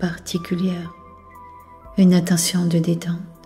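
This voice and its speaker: Music plays behind a soft-spoken woman with a medium-pitched voice and a soothing tone. She speaks at a very slow pace. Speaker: hypnotherapist. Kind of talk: sleep hypnosis session. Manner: soft-spoken, slow, soothing.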